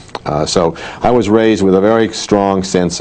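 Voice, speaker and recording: A man with an American accent can be heard, with clear background noise around him. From US Midwest, Chicago and western Illinois. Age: 70s. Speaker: political science professor. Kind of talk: interview.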